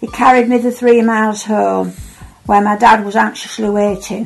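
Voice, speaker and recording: Music plays in the background as a woman talks with an East Yorkshire accent. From Hull, East Yorkshire. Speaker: wartime childhood witness. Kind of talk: personal memoir.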